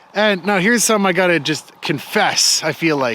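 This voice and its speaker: Over noticeable background noise, a man with a high pitch speaks at a moderate pace, his pitch varying in an ordinary way. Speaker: YouTube channel host, interviewer. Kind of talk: casual conversational interview, walking and talking.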